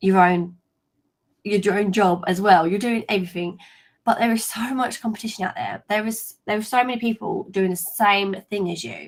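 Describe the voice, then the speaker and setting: Here a woman speaks with a London accent. Her intonation is fairly even. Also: medium pitch for a woman, moderate pace. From East London, England. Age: 20s. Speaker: LinkedIn coach. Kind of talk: webinar presentation. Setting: live video stream.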